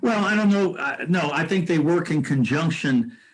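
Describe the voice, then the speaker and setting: Delivered at a moderate pace in an American accent, the speech comes with noticeable background noise. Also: man. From US Midwest, Indianapolis. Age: 70s. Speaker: mayoral candidate, retired fire chief. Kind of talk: interview. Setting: video call.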